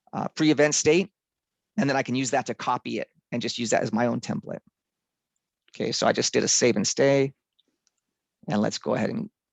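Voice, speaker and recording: The speech moves at a fairly quick pace but has long, frequent pauses, with a dry sound without echo and a quiet background. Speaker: software trainer. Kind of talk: tutorial. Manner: fast. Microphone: video call.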